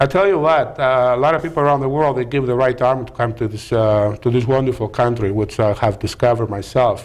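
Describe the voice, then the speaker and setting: Speaking at a very fast pace, a man with a strong Greek accent shows ordinary pitch variation. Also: medium pitch for a man, hardly any pauses. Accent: heavy Greek. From Greece (Peloponnese). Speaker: restaurant owner. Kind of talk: talk show interview. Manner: halting.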